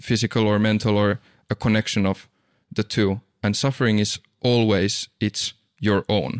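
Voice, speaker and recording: In a very clean recording with a silent background, a man with a Finnish accent speaks at a fairly slow pace and a fairly low pitch. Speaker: podcast host. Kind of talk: casual chat.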